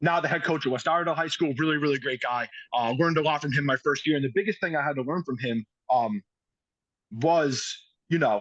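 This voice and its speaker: Fairly quick, fairly high-pitched speech from a man with a New York accent and ordinary pitch variation, in a dry, close sound with no echo. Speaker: high school football coach. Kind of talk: podcast interview. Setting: outdoors. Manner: fast.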